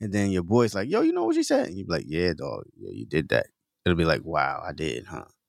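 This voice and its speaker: Loudness rises and falls sharply as a man speaks fairly quickly. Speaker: podcast host. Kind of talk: casual chat.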